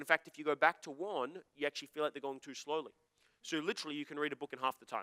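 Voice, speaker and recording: A man at a very fast pace with an Australian accent, fairly high pitch, a bright, sharp and animated tone, big swings in loudness, and a dry, close sound with no echo. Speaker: motivational speaker. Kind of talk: seminar talk to live audience.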